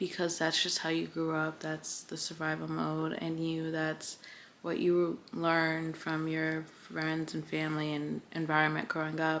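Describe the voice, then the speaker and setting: A soft-spoken woman with a very deep, low pitch and monotone, flat intonation at a fairly slow pace. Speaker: lifestyle vlogger. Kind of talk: casual chat. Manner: soft-spoken in person.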